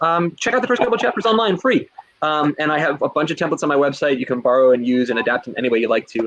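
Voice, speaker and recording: Talking at a very fast pace in a New Jersey accent, a man uses a fairly high pitch with very wide pitch swings. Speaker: teacher and instructional coach. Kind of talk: webinar presentation. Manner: animated.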